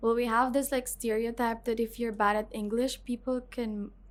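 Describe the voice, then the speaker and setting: A woman speaks at a fairly high pitch in a very clean recording with a silent background. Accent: Filipino. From Philippines. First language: Filipino. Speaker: student teacher. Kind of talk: interview.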